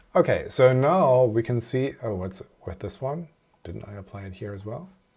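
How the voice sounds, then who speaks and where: Somewhat breathy and at a medium pitch, a man speaks with lively intonation. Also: moderate pace, big swings in loudness. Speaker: software developer livestreamer. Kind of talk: live coding stream.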